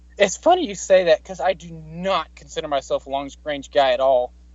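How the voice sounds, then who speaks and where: Speaking with an American accent at a fairly quick pace, a man uses ordinary pitch variation in a plain, everyday voice. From US South. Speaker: firearms content creator. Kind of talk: casual chat.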